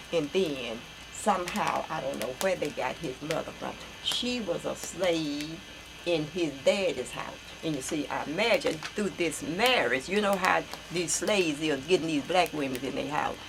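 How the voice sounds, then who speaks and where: Over noticeable background noise, a woman with an American accent speaks at a moderate pace, her fairly low voice carrying lively intonation. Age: 80s+. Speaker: elderly relative recounting family history. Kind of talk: oral history interview. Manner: halting.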